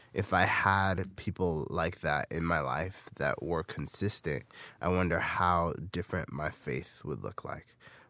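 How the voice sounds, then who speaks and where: Someone with an American accent speaks at a fairly slow pace with vocal fry. The recording is very clean, with a silent background. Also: man, very deep, low pitch for a man, ordinary pitch variation. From US West Coast, Bay Area. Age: 20s. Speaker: podcast host, youth leader. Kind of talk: personal testimony podcast.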